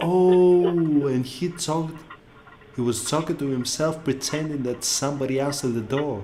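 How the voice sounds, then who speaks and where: Speaking with a non-native accent over noticeable background noise, a man talks at a moderate pace and fairly high pitch with ordinary pitch variation. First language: not English. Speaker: YouTube reactor. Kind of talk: casual reaction commentary. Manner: animated.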